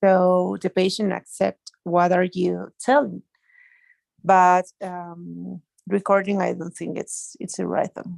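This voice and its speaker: A woman at a very slow pace, big swings in loudness, in a dry, close sound with no echo. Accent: Spanish. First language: Spanish. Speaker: doctor studying medical English. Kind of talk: class discussion. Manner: halting.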